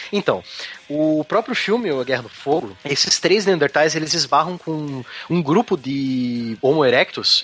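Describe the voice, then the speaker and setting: A man's voice at a fairly high pitch with noticeable background noise. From southern Brazil, Curitiba (Paraná). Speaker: science podcast co-host. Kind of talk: casual chat.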